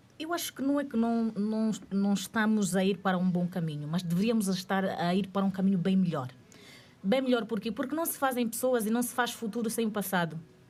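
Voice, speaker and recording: Somewhat breathy and at a medium pitch, a woman talks at a fairly quick pace with lively intonation. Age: 30s. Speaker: panel guest representing young generation. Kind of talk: panel debate.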